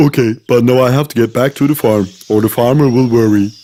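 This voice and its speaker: The speaker uses a put-on character voice with fairly even intonation. The pace is fairly quick. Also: man, medium pitch for a man. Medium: read story.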